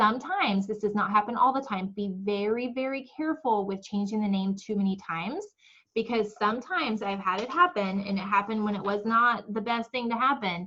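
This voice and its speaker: A woman with fairly high pitch speaks at a fairly quick pace. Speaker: direct sales team trainer. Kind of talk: team training call. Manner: fast; animated.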